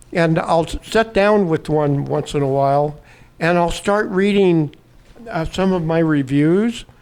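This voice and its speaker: This man's voice sits high in pitch, with ordinary variation. He talks at a fairly slow pace. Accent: American. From US West Coast, Oakland, California. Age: 80s+. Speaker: retired TV horror host and author. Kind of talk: interview. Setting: event at a brewery. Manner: animated.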